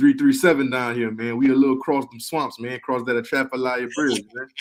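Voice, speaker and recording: His intonation stays monotone and flat. The man talks fairly quickly at a medium pitch. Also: big swings in loudness. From Louisiana, Lafayette. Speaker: music producer. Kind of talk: casual chat.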